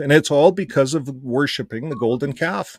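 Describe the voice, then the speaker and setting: A man's plain, everyday voice at a fairly quick pace, with ordinary pitch variation. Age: 60s. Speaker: ex-Jehovah's Witness channel host. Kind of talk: casual chat.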